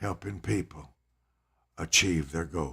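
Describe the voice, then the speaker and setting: A man speaks at a fairly slow pace with vocal fry and a bright, sharp tone. The recording is very clean, with a silent background. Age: 70s. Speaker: preacher and author. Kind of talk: reading aloud; casual chat.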